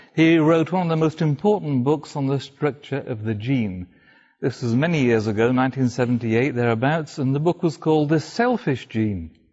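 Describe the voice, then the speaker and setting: A man with a Welsh accent speaks at a moderate pace, his fairly high pitch carrying lively intonation. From North Wales. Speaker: speaker telling his conversion story. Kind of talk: talk to a live audience.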